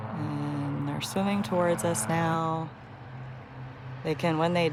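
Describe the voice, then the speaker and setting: A soft-spoken woman at a very slow pace, with audible room echo and noticeable background noise. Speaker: wildlife conservationist. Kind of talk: livestream commentary. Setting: outdoors.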